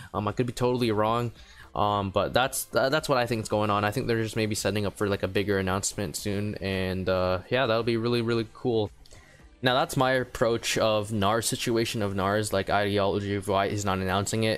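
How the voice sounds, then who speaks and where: Quietly and at a fairly quick pace, a man speaks in a fairly low voice with fairly even intonation. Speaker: gaming youtuber. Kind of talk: casual commentary vlog. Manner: halting.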